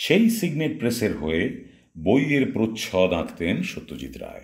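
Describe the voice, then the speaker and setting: A man's voice with vocal fry. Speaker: narrator. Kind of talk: radio storytelling narration.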